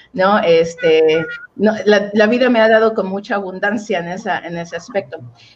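Noticeable background noise accompanies a woman of medium pitch who talks at a moderate pace with ordinary pitch variation. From Mexico, Oaxaca. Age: 30s. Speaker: relationship coach. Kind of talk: interview.

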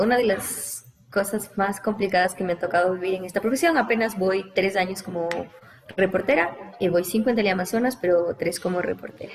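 Over noticeable background noise, a woman talks at a fairly quick pace. Her pitch is medium and her intonation fairly even. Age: 20s. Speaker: TV news reporter. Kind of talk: casual interview.

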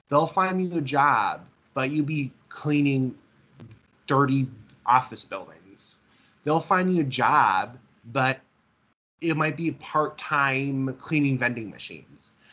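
This man, with an Upper Midwest accent, talks very slowly with long, frequent pauses in a fairly high voice that has a bright, sharp tone and ordinary pitch variation. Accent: Upper Midwest American. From Minnesota, near St. Cloud. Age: 20s. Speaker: visually impaired mall worker. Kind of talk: interview. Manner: halting, repetitive.

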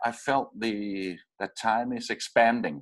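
A very slow pace, with a Danish accent. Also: man. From Denmark. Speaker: radio producer and podcaster. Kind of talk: casual interview. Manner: halting, many repetitions.

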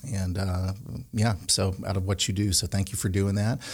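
The recording is very clean, with a silent background. A man speaks in an American accent, sounding somewhat breathy. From Connecticut. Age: 40s. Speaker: podcast host and ministry leader. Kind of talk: casual faith discussion.

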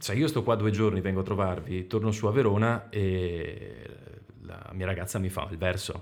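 A man talks at a moderate pace with a slight Venetian accent. His pitch sits fairly low and varies in an ordinary way. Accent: mild Veneto accent, mostly in the R. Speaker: voice actor in training. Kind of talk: casual chat.

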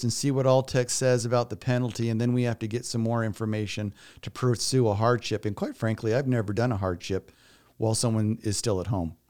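With an unremarkable speaking voice, a man talks at a fairly quick pace and ordinary pitch variation on a very clean recording with a silent background. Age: 50s. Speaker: elder law attorney. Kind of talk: interview.

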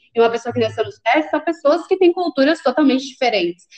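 Her intonation is lively and her pitch high. This woman speaks at a very fast pace. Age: 20s. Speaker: recruiting intern turned employee, pedagogy student. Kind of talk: casual interview. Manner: animated.

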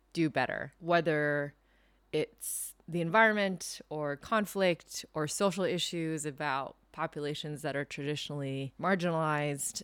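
In a very clean recording with a silent background, a woman speaks in a very deep, low voice with fairly even intonation. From Hong Kong. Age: 20s. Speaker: documentary photographer and journalist. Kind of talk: interview conversation.

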